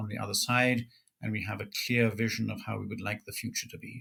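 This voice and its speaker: A man's very fast, flat monotone at medium pitch, bright and sharp in tone, with vocal fry and an American accent. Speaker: Orthodox priest, pastor. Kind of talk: interview, conversational storytelling. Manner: measured, formal with hesitations.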